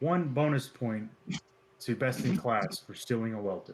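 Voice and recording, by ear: A booming, put-on character voice moves at a moderate pace with lively intonation. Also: man, medium pitch for a man.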